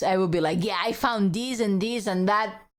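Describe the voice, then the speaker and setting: A woman's animated, medium-pitched voice with a non-native accent, at a moderate pace. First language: not English. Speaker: streamer. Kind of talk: casual gameplay livestream chat.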